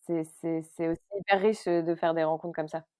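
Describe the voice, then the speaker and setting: Moving at a moderate pace, the speaker keeps a monotone, flat intonation. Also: woman. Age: 30s. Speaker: actress and comedy writer. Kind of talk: interview conversation. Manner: hesitant, many repetitions and fillers.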